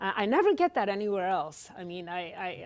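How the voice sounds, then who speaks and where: A woman with an American accent, medium pitch and a fairly quick pace. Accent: Polish-tinged accent, noticed in Wisconsin. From Poland. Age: 60s. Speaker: author, retired law professor. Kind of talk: author talk. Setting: library event with audience. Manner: hesitant, many fillers.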